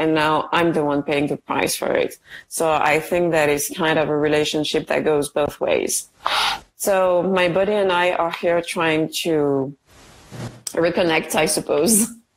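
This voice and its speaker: This voice has a French accent and a fairly slow pace. Its loudness stays very even and its intonation fairly even. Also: woman. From France. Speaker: guest with chronic illness. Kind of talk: casual interview chat. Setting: video call from India.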